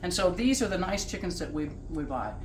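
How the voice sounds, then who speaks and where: A woman with lively intonation speaks at a moderate pace amid audible room echo and noticeable background noise. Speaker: home cook hosting a cooking show. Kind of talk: cooking tutorial. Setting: home kitchen. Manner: casual, chatty.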